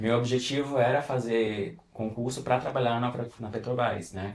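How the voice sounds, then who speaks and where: This is a man speaking. His pace is moderate. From interior of Pernambuco, Brazil. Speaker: perfumer. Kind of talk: podcast interview.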